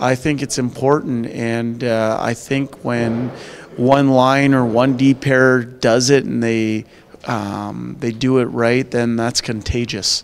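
A man talks at a slow pace with a clear, smooth tone, a medium pitch, and little pitch movement.

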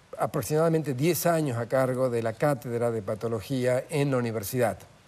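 A man's fairly high voice with ordinary pitch variation, at a moderate pace. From Andean South America (Peru, Bolivia, Ecuador), Argentine parents. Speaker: pathologist and medical professor; medical professor. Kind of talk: interview. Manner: many filler hesitations (eh). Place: studio. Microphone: lapel.

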